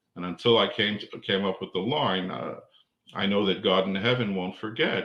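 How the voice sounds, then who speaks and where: A man talks at a fairly quick pace with an unremarkable speaking voice. His pitch is fairly low with ordinary variation. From Canada. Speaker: musician and composer. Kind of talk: interview answer.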